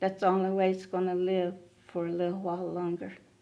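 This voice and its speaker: A woman speaks at medium pitch with a dark, mellow tone. Her intonation stays monotone and flat. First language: Muscogee Creek. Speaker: Creek language elder. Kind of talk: interview testimony.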